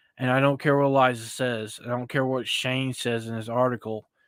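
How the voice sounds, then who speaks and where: A man's bright, sharp voice, with fairly even intonation, comes through a very clean recording with a silent background. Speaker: commentary streamer. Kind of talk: casual commentary monologue. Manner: halting, many fillers.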